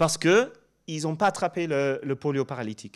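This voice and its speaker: A man with a slight English accent, fairly high in pitch, with lively intonation at a moderate pace, on a very clean recording with a silent background. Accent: slight English-speaking accent in French. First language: English (speaking French). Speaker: professor. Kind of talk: conference presentation. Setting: stage with audience. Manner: halting, with many fillers and repetitions.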